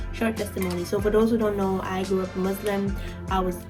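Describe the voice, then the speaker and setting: A woman speaks quietly. Music plays in the background. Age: 20s. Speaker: new YouTuber. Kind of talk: casual talk to camera. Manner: quiet, low voice.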